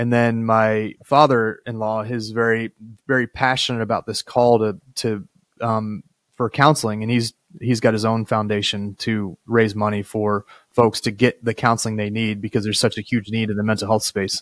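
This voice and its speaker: A man talks at a moderate pace in a flat monotone. The sound is dry with no echo, and the background is quiet. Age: 40s. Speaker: podcast host and state senator; podcast host, state senator. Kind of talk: interview conversation with scripted intro. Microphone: studio mic.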